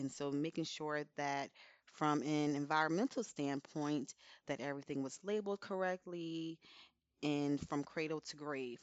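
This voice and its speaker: A woman speaks with an American accent at a very deep, low pitch. Her intonation stays fairly even. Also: moderate pace. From New Jersey, Elizabeth. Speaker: safety professional. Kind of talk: casual interview.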